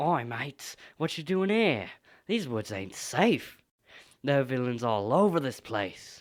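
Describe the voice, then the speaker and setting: A cartoonish character voice talks at a fairly slow pace. The recording is very clean, with a silent background. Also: man, medium pitch for a man. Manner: cheery, casual.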